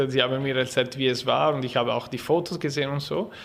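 With noticeable background noise behind him, a man speaks at a fairly high pitch. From Ticino, Switzerland. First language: Italian (speaking German). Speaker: film festival artistic director. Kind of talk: interview. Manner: halting.

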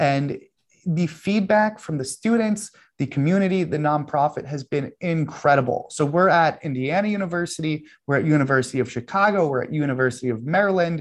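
A man's plain, everyday voice, fairly high in pitch, with a fairly quick pace and lively intonation over a quiet background. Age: 30s. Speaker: professional trader. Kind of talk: interview.

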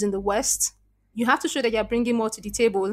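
The recording is very clean, and the background is silent. A woman speaks in a fairly high voice with fairly even intonation. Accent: Nigerian. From Nigeria. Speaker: SEO copywriter and content strategist. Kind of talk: interview.

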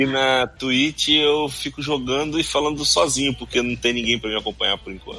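A man at a medium pitch and moderate pace, with hardly any pauses, fairly even intonation, big swings in loudness, and noticeable background noise. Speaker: podcast co-host. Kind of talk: casual chat. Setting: live stream studio.

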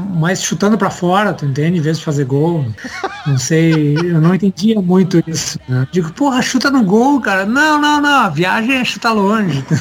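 Noticeable background noise sits behind a man's voice. His pitch is high, with very wide swings. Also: moderate pace. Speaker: rock musician. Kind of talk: interview conversation.

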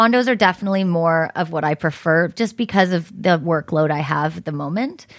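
A woman speaks at a fairly quick pace with hardly any pauses, her pitch fairly low and its variation ordinary. The recording is very clean, with a silent background. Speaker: property manager. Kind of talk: casual interview. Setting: in person.

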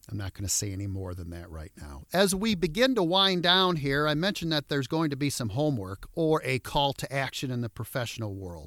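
The speaker talks at a fairly quick pace with a Midwestern American accent and very wide pitch swings. The recording is very clean and dry, close with no echo, over a silent background. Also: man. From Michigan (Detroit suburbs). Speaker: motivational speaker and podcast host. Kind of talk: podcast monologue. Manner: animated.

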